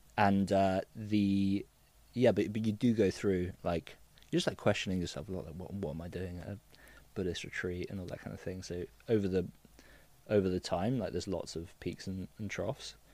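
With a southern English accent, a man speaks at a moderate pace and fairly low pitch in a dark, mellow tone, his intonation fairly even but his loudness swinging widely, on a very clean recording with a silent background. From southern England, Cotswolds. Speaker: digital detox business founder. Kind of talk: casual interview chat. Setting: studio.

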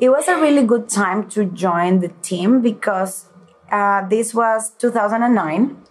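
In a Venezuelan accent, a woman talks at a very slow pace with a fairly high pitch and very even loudness. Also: ordinary pitch variation. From Venezuela, Caracas. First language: Spanish. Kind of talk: interview.

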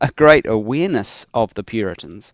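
Against a quiet background, a man with a New Zealand accent talks with very wide pitch swings. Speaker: church historian and author. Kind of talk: interview conversation.

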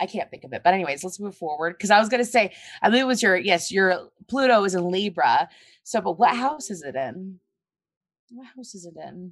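A woman with an American accent has a plain, everyday voice at medium pitch. She speaks at a fairly quick pace with lively intonation and big swings in loudness. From US South. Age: 30s. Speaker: astrologer and psychic. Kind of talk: casual chat. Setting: video call.

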